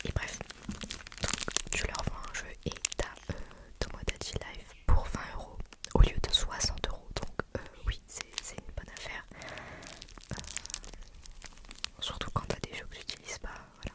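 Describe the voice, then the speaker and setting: A woman whispers with big swings in loudness and long, frequent pauses, while noticeable background noise sits behind her. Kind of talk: ASMR triggers video. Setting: outdoors, birds audible in background. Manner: whispered, soft-spoken.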